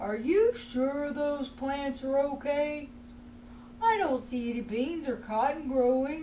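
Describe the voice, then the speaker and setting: A female-sounding, high-pitched put-on character voice speaks at a fairly slow pace. Background noise is clearly audible. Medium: read story.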